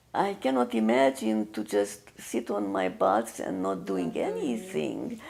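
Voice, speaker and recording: Speaking fairly slowly, a woman talks with a Hungarian accent. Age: 80s+. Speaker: artist. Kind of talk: casual chat. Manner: halting.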